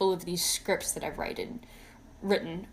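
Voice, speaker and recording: A woman mumbles. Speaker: video creator, fursuit and mask maker. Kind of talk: casual vlog monologue. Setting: talking to camera at home, wearing a mask. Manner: stutters and mumbles, says uh a lot; unscripted first take, unedited.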